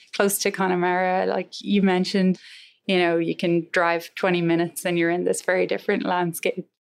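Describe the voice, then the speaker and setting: Against a quiet background, a woman in a western Irish accent speaks fairly quickly in a fairly low, flat monotone at very even loudness. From Ireland, Galway. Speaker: engineering professor. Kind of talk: interview.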